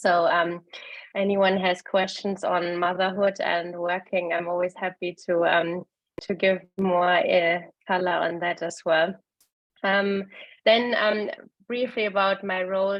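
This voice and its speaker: In a German accent, a woman of medium pitch speaks fairly slowly. Her intonation is monotone and flat. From Germany. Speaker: venture capital investor. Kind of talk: webinar presentation. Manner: hesitant, many fillers.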